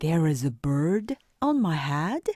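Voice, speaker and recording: A female-sounding voice puts on a character voice with a very deep, low pitch. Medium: read story. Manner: worried, fretful.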